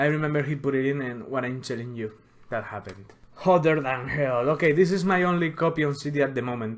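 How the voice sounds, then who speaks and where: Speaking at a very fast pace, a man with a Spanish accent has a medium pitch. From Spain. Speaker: music collector youtuber. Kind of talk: casual collection showcase video.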